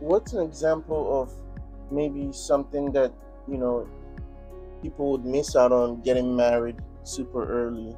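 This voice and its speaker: A man at a fairly slow pace with long, frequent pauses, music in the background. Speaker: street interviewer. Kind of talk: interview questions.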